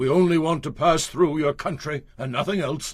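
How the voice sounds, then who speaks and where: A put-on character voice from a man, pitched fairly high, delivered at a moderate pace. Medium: audio drama. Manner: aggrieved.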